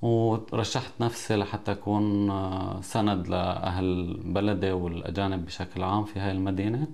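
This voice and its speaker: At a fairly slow pace, a man with an ordinary speaking voice speaks in a fairly low pitch and with fairly even intonation. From Syria, Idlib province (Jabal al-Zawiya); Idlib, Syria. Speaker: local election candidate; election candidate. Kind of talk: interview statement. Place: office. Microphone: lapel.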